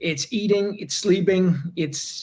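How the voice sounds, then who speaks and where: Talking at a fairly slow pace, a man speaks with a non-native accent. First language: not English. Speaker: UFC fighter. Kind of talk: interview. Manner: halting, many repeated words.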